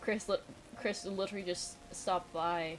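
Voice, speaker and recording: Music plays in the background. A woman speaks in a fairly low pitch with monotone, flat intonation. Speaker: streamer and digital artist. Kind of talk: casual chat. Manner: sounds serious even when joking.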